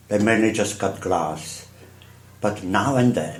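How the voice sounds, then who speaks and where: The speaker has a strong Czech accent. There is audible room echo along with noticeable background noise. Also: man. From Czech Republic, Prague. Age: 70s. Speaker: artist. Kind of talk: interview storytelling.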